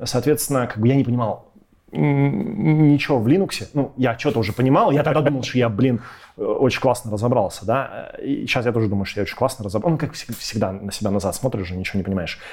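A man rattles along at a very fast pace in a somewhat breathy, medium-pitched voice with lively intonation. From Russia, Irkutsk then Moscow from age 12. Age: 30s. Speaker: tech company co-founder and CTO. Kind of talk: casual interview chat. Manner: animated.

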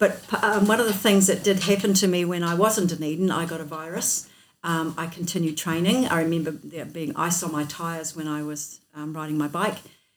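A woman with a New Zealand accent, at a moderate pace and with ordinary pitch variation. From New Zealand, North Otago. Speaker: accountant and multisport athlete. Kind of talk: interview.

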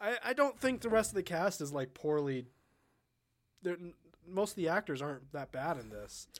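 Speaking with an American accent at a moderate pace, a man uses a high pitch with very wide pitch swings and long, frequent pauses. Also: big swings in loudness. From Southern California. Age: young. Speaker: podcast co-host. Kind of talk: casual chat.

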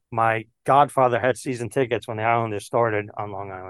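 A man with an American accent speaks at a fairly quick pace in an unremarkable speaking voice, medium in pitch, with a dry, close sound, no echo, and a quiet background. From New York City (Queens). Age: 50s. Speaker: baseball card collector. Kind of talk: casual chat.

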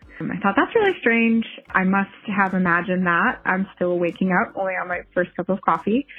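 A woman's normal speaking voice with an American accent, medium in pitch, at a moderate pace with fairly even intonation. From New Jersey. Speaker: bicycle mechanic. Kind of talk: casual interview chat.

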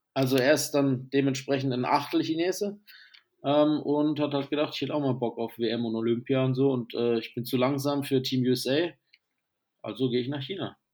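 Fairly high-pitched man at a moderate pace, with fairly even intonation. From southern Germany. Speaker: basketball podcast host. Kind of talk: casual chat.

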